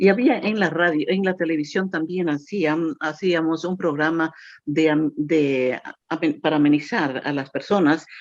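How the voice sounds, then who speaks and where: Speaking fairly slowly, a woman uses a very deep, low pitch with ordinary pitch variation. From Ecuador. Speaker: radio announcer. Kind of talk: interview answer.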